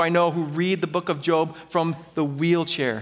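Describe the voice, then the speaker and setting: In an ordinary speaking voice, a man with a fairly high pitch talks at a moderate pace on a very clean recording with a silent background. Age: 40s. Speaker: pastor. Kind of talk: sermon.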